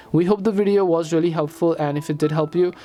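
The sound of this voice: A dark, mellow tone moves at a fast pace with fairly even intonation and a Nepali accent.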